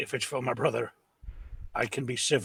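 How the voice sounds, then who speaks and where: The speaker puts on a raspy character voice. The delivery moves at a fairly quick pace. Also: man. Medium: actual play. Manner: emotional, earnest.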